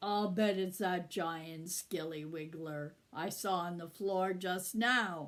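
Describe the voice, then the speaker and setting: A woman's put-on character voice at a medium pitch, fairly slow pace and fairly even intonation. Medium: read story.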